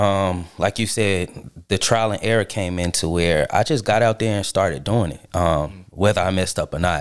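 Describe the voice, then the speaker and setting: Speaking at a moderate pace, a man with an ordinary speaking voice has a fairly low pitch and ordinary pitch variation. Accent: American. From Charlotte, North Carolina. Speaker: musician. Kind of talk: casual chat.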